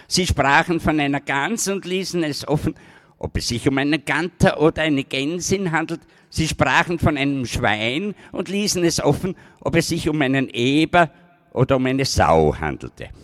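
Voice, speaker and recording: At a moderate pace, a man speaks at a fairly high pitch with ordinary pitch variation, in a dry, close sound with no echo. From Styria, Austria. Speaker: slam poet, dialect author. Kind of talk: poetry performance. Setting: outdoor stage with audience. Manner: rising to shouting rage.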